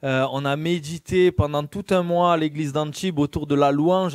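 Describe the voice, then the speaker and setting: Dry and close with no echo, a man's fairly high voice moves at a moderate pace with fairly even intonation. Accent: slight Marseille. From southern France, Marseille. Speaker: lay preacher. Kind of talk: sermon. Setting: church. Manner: hesitant, frequent fillers.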